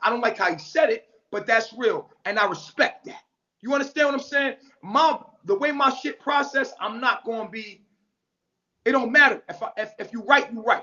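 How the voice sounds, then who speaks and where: Speaking at a moderate pace, a man with an extremely high pitch uses lively intonation and big swings in loudness. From New York. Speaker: social media commentator. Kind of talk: livestream rant. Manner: blunt, forceful.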